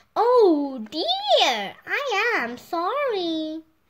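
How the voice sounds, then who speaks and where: A woman uses a put-on character voice, raised and projected. Her extremely high pitch swings very widely. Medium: read story.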